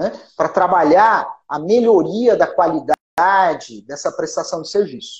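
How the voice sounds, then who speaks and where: This man's delivery is fairly slow, broken by long, frequent pauses. The volume rises and falls in big swings. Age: 40s. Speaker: lawyer and law professor. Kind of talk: interview. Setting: at home, remote call.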